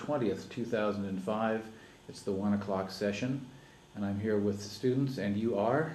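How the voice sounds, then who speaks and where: A man with an American accent at a fairly low pitch, moderate pace and fairly even intonation, with audible room echo. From Colorado, US (Greeley). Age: 50s. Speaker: oral history interviewee, farmer. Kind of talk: oral history interview. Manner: halting, with many fillers and restarts.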